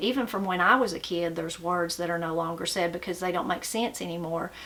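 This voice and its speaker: A woman talks in a strong Appalachian accent at a medium pitch. Noticeable background noise is present. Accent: strong Appalachian mountain. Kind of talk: casual talk to camera.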